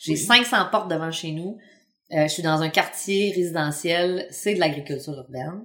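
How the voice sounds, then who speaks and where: A woman with a Quebec accent, fairly low pitch, a moderate pace and big swings in loudness. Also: ordinary pitch variation. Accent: Québécois French. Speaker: urban market gardener. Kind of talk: casual interview. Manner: halting.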